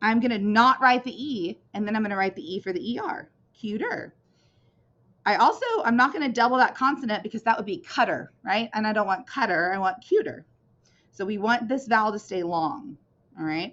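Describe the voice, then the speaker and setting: A woman's fairly high voice, lively in intonation, at a fairly quick pace. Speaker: teacher. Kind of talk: lesson. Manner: casual, conversational.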